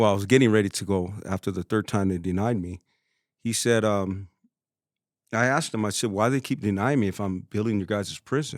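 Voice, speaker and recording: An ordinary speaking voice from a man, fairly low in pitch with ordinary pitch variation, in a very clean recording with a silent background and dry, close sound with no echo. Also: fairly quick pace. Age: 50s. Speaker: plumber. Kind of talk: casual interview chat.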